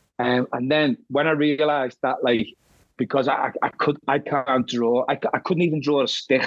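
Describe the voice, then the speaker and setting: In a Liverpool accent, a man with a fairly high pitch speaks at a moderate pace with fairly even intonation and very even loudness, the sound dry and close with no echo. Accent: Scouse. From Liverpool, England. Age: 50s. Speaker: horror author. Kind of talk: interview. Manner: halting, many repeated words.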